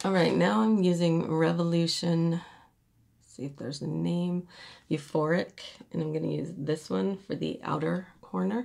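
This woman's pitch is very deep and low. Her intonation is lively. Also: moderate pace, quiet background. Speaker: beauty vlogger. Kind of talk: makeup tutorial. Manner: casual, chatty. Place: home room. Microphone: phone near.

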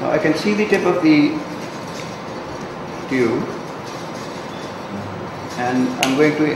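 A man's voice amid audible room echo and noticeable background noise. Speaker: clinician demonstrating equipment. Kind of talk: tutorial. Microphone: camera far.

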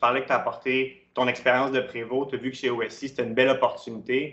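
Recorded with audible room echo and a quiet background, a man speaks with a Quebec accent. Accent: Québécois French. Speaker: webinar host. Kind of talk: interview. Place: home room. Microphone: webcam.

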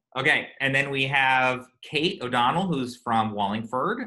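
Behind the voice, everything stays quiet. The one talking is a man. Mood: upbeat, joking. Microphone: video call.

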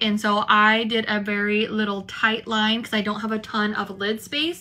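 A woman speaks with a bright, sharp tone. Her pitch is fairly high. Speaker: beauty vlogger and cosmetics distributor. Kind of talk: sales pitch for a distributor sign-up promo, upbeat and persuasive. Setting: video on camera at home. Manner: enthusiastic, salesy, fast-paced. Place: home room. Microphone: phone near.

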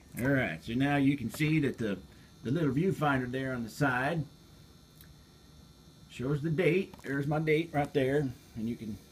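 The speech moves at a moderate pace against light background noise. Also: man. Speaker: hobbyist reviewing a camcorder. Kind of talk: casual product demo tutorial. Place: home room.

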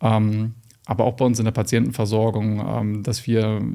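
Speaking in a monotone, flat intonation, a man has a dark, mellow tone. The background is quiet. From northern Germany, Lüneburg Heath; northern Germany. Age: young. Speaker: general practitioner; guest. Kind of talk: interview. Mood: calm, engaged, explanatory. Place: studio. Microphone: studio mic.

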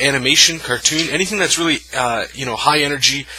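Pitch varies in an ordinary way as a man speaks. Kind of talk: tutorial. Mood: relaxed, friendly. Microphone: phone near.

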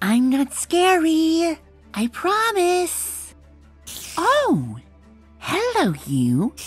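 With faint music in the background, a female-sounding voice delivers a put-on character voice at a very slow pace. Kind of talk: comic book reading with character voices. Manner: soft-spoken, hesitant.

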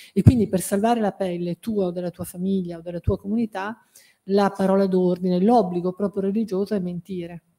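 Against a quiet background, a woman talks at a fairly quick pace in a medium pitch, her tone dark and mellow and her intonation flat and monotone. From Piedmont, Italy (Alessandria); Piedmont, Italy. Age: 50s. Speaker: academic and journalist; journalist. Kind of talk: book presentation talk. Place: hall. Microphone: podium.

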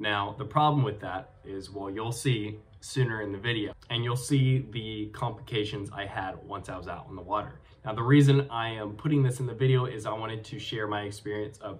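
A man speaks at a moderate pace with ordinary pitch variation. His loudness swings a lot. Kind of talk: casual vlog chat. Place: home room. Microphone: webcam.

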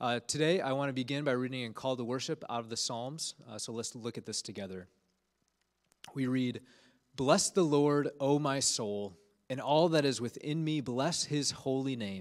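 A man's pitch moves in an ordinary way, and the background stays quiet. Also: moderate pace. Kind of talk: sermon. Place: church. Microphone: handheld.

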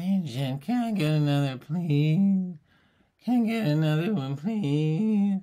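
A put-on character voice at a middle pitch, delivered at a fairly slow pace. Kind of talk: tutorial.

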